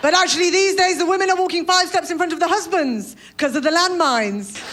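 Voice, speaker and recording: At a very fast pace, a woman with an extremely high pitch speaks with lively intonation and very even loudness over noticeable background noise. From Britain. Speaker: stand-up comedian. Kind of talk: stand-up comedy set to an audience.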